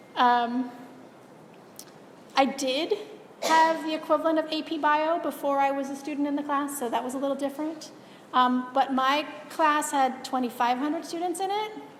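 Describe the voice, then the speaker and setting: A high-pitched woman's voice with fairly even intonation, moderate pace and long, frequent pauses, plus audible room echo and noticeable background noise. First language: not English. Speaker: university biology lecturer. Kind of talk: lecture. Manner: casual, with filler words.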